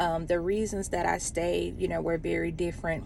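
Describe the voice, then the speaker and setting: A woman's moderate-paced speech is heard with audible room echo. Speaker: relationship vlogger. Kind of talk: casual advice monologue. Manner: hesitant, many fillers.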